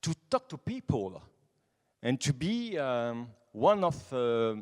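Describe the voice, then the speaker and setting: A man with a French accent talks at a very slow pace with lively intonation, in a dry, close sound with no echo. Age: 20s. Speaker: nightlife association president. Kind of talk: conference talk. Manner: halting; animated.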